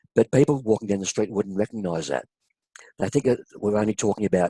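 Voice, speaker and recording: The recording is dry and close, with no echo. A man's voice comes through in a dark, mellow tone. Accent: Australian. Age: 60s. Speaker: health consumer, kidney transplant recipient. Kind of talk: interview testimony.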